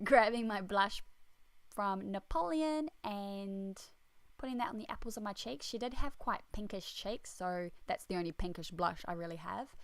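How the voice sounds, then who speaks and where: At a moderate pace, a woman with an Australian accent speaks at a medium pitch with lively intonation. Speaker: beauty vlogger. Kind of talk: makeup tutorial voiceover. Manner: casual.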